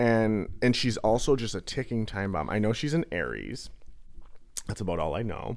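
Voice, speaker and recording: In a very clean recording with a silent background, a man speaks with a fairly low pitch and vocal fry. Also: lively intonation, moderate pace. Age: 30s. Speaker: podcast guest. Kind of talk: casual chat.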